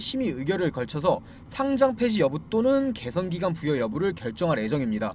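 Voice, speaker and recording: At a high pitch, a man talks fairly quickly, his pitch swinging very widely. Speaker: stock market commentator. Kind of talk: stock analysis commentary. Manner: slurring articulation; frequent filler 'ja'.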